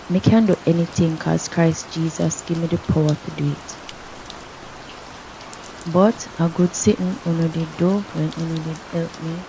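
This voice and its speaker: Noticeable background noise surrounds a soft-spoken woman with a Jamaican accent, whose fairly low voice stays monotone and flat. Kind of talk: scripture reading. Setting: rain background. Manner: soft-spoken, relaxing.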